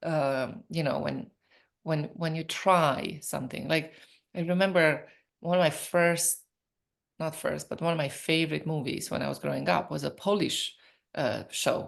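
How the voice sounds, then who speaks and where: A woman's very deep, low voice with a Romanian accent, vocal fry, ordinary pitch variation, a fairly slow pace and long, frequent pauses over a quiet background. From Romania (Transylvania). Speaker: professor and entrepreneur. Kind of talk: interview conversation. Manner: animated.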